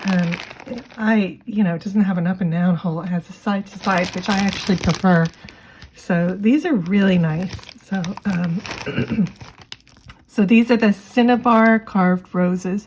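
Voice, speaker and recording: A woman speaks at a moderate pace with long, frequent pauses and fairly even intonation over noticeable background noise. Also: medium pitch for a woman. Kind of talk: product unboxing and review. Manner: casual, many filler words.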